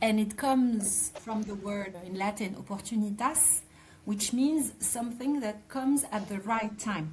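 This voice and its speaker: A woman with a French accent speaks at a fairly slow pace and fairly high pitch, with ordinary pitch variation, over noticeable background noise. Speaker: podcast host. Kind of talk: interview conversation.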